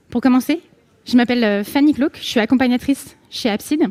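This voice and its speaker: This woman's voice has a dark, mellow tone and a high pitch. Her pitch varies in an ordinary way. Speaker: conference speaker. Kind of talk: conference talk. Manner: fast.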